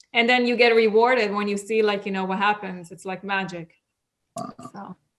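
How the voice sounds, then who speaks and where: Her loudness swings widely as a woman speaks at a moderate pace and medium pitch, her intonation monotone and flat. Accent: non-native. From Israel, Russian immigrant parents. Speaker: cosmetic surgery clinic worker. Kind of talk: podcast interview. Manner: casual, swears.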